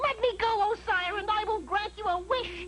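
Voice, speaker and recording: In a put-on character voice, extremely high and squeaky, someone talks at a moderate pace over clear background noise. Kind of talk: cartoon comic acting. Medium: cartoon. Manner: casual, deadpan.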